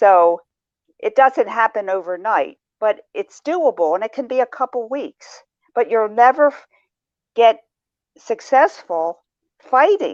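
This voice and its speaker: Recorded dry and close with no echo against a quiet background, a woman speaks at a fairly high pitch and fairly slow pace, with very wide pitch swings and long, frequent pauses. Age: 70s. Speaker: shame and guilt counselor. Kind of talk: podcast interview.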